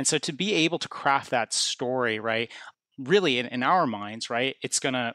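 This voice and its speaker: A man talks at a fairly quick pace in a bright, sharp tone, recorded very cleanly with a silent background and a dry, close sound with no echo. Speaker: podcast ad tech guest. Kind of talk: interview conversation.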